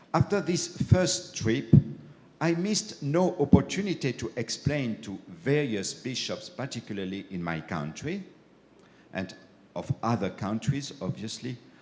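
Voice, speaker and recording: A man with a French accent, vocal fry, and very wide pitch swings. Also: medium pitch for a man, big swings in loudness. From France. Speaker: bishop, keynote speaker. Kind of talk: keynote lecture. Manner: halting, with fillers.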